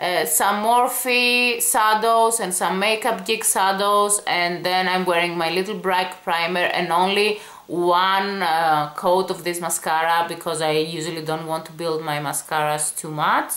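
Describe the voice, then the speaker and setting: Fairly slow speech from a woman at medium pitch, with ordinary pitch variation and hardly any pauses, amid audible room echo and noticeable background noise. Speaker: beauty vlogger. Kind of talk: product review.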